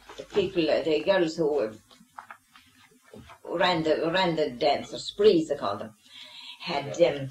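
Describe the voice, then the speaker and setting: Lively intonation runs through this moderately paced speech, with noticeable background noise behind it. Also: woman. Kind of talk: interview answer.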